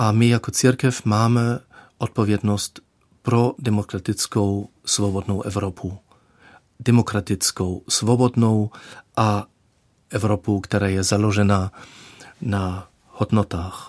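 With long, frequent pauses, a man speaks very slowly in a German accent, the sound dry and close with no echo. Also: fairly low pitch for a man, very clean recording, silent background. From Germany. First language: German (speaking Czech). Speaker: dean candidate, theologian. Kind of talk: radio interview. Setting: studio. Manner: halting.

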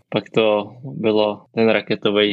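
A man's normal speaking voice, fairly low in pitch, with fairly even intonation. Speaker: pro cyclist, podcast host. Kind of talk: interview.

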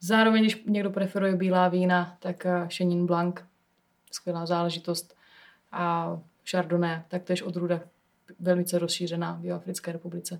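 A woman's fairly low voice at a moderate pace, monotone and flat, broken by long, frequent pauses. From South Moravia, Czech Republic (Hustopeče). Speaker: winemaker. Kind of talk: casual chat interview. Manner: hesitant with filler sounds.

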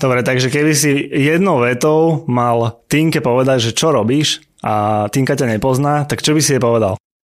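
A man speaks in an unremarkable speaking voice at medium pitch, with ordinary pitch variation and very even loudness. His pace is moderate, with hardly any pauses. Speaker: podcast co-host. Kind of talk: casual interview; scripted outro.

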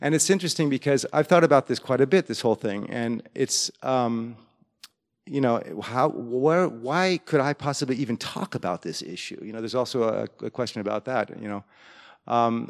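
A man with an American accent speaks in a plain, everyday voice at medium pitch and a moderate pace with lively intonation, on a very clean recording with a silent background and a dry, close sound with no echo. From US. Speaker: music educator. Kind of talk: presentation. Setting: stage with audience.

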